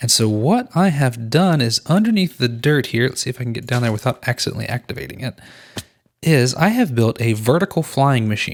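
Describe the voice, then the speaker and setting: A man's normal speaking voice, medium in pitch, with lively intonation at a fairly quick pace, in a dry, close sound with no echo. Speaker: gaming YouTuber. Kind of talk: gameplay commentary.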